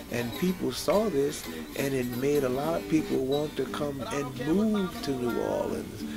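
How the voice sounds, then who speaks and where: Loud music fills the background. Over it, a man speaks at a fairly slow pace. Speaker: musician. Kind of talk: interview answer. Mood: warm, reminiscing. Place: studio.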